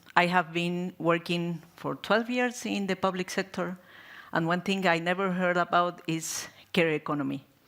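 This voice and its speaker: A woman speaks at a fairly low pitch with fairly even intonation and a Spanish accent. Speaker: NGO programme coordinator and activist. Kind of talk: panel discussion. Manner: halting.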